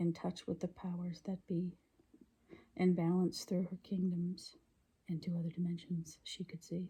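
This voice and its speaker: A woman whispers at a fairly slow pace in a somewhat breathy voice. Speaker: poet reading her own poems. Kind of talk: ASMR poetry reading. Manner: whispered.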